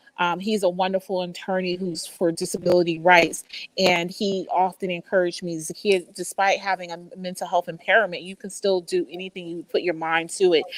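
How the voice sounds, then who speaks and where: Fairly quick speech with hardly any pauses, monotone, flat intonation and an American accent. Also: woman, medium pitch for a woman. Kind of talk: virtual summit interview. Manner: halting, stuttering from migraine.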